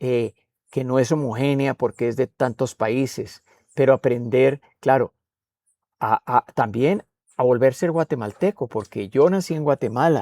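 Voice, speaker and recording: This man has a Spanish accent and a medium pitch with ordinary variation, his tone dark and mellow. He talks at a fairly slow pace, and the sound is dry and close with no echo. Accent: Spanish-speaker accent in English. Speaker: poet and writer. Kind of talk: interview. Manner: halting, many fillers.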